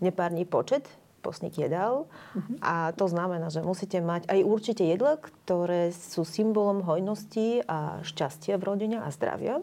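A woman with a Bulgarian accent, medium pitch and a dark, mellow tone, with lively intonation at a moderate pace. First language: Bulgarian (speaking Slovak). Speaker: painter and cultural organizer. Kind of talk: panel discussion.

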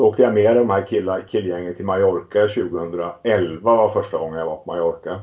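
In a normal speaking voice, a man talks at a moderate pace and fairly low pitch, with fairly even intonation and hardly any pauses. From Småland, Sweden (Västervik). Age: 50s. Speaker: entrepreneur and amateur cyclist. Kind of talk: interview.

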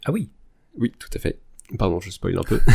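A man's voice, dark and mellow in tone, with ordinary pitch variation. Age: 30s. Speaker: general practitioner, podcast guest. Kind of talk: casual chat.

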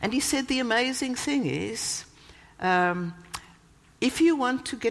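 A woman with a South African accent speaks at a fairly slow pace, her pitch swinging very widely. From South Africa, Cape Town. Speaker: church leader and guest preacher. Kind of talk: sermon. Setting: church. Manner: animated.

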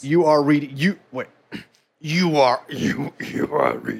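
A man puts on a raspy character voice, speaking at a fairly slow pace with a fairly high pitch.

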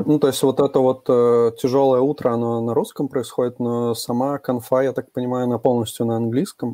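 A man's medium-pitched voice, dark and mellow in tone, with monotone, flat intonation, a fairly quick pace and hardly any pauses. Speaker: podcast co-host.

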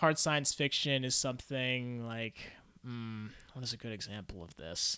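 On a very clean recording with a silent background, a man talks at a moderate pace in a medium pitch with a bright, sharp tone and ordinary pitch variation. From US, moved among five states. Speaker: engineer and novelist. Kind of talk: casual chat. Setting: in-person studio interview.

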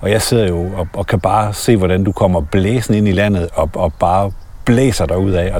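At a moderate pace, a man with a plain, everyday voice speaks at a fairly low pitch. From Denmark. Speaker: podcast host. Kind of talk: casual interview. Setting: outdoors walking in a forest.

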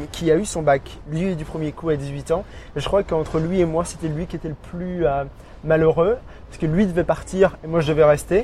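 Speaking in a high pitch, a man leaves long, frequent pauses as his loudness swings widely. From Burgundy, France. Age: 30s. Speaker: expatriate. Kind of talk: interview. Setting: outdoor café terrace.

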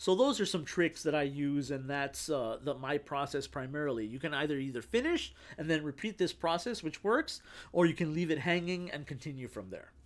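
A man talks at a fairly quick pace with ordinary pitch variation. His is a normal speaking voice, fairly high in pitch. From Texas. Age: 40s. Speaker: screenwriter. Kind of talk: casual chat.

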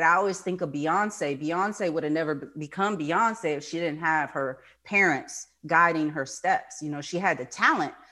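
A woman with an American accent has a bright, sharp tone and ordinary pitch variation. She speaks at a moderate pace in a very clean recording with a silent background. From New York. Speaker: therapist and author. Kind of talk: interview.

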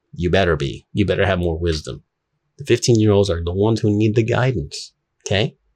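Speaking at a fairly quick pace, a man with an American accent has a fairly low pitch, lively intonation and a somewhat breathy voice. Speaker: YouTuber. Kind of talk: monologue commentary. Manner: casual, with fillers.

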